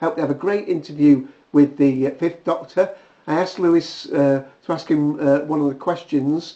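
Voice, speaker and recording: Speaking with a British accent, a man talks at a moderate pace with a fairly high pitch and fairly even intonation. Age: 60s. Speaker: video blogger. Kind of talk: casual vlog monologue. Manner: hesitant, many fillers.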